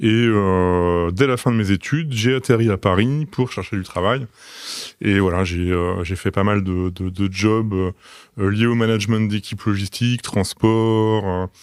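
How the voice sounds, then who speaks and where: Recorded very cleanly against a silent background, a man talks at a fairly slow pace with a fairly low pitch and ordinary pitch variation. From France, Troyes (Aube). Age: 40s. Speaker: logistics manager, podcast guest. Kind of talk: interview. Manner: hesitant, many fillers.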